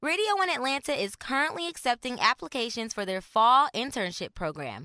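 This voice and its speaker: The sound is dry and close with no echo, though noticeable background noise comes through. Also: woman. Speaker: voice actor. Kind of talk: radio commercial read.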